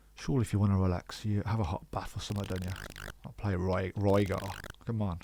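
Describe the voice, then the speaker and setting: In a Birmingham accent, a man talks at a very fast pace with monotone, flat intonation. His voice is fairly low and has a dark, mellow tone. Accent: Brummie. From West Midlands, England. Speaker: gaming YouTuber. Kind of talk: gameplay commentary. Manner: casual, hesitant with fillers; not fast-talking.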